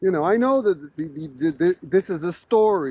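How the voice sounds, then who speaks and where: Animated in tone, a man with a Quebec accent talks at a moderate pace in a high pitch with ordinary pitch variation. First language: French. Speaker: professor. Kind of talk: casual interview conversation while walking. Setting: outdoors walking in snowstorm.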